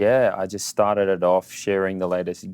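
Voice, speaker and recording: Recorded very cleanly with a silent background, a man with an Australian accent talks at a moderate pace in a very deep, low voice. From Australia, Sydney. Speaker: social media entrepreneur. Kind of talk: casual interview. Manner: casual, filler-heavy.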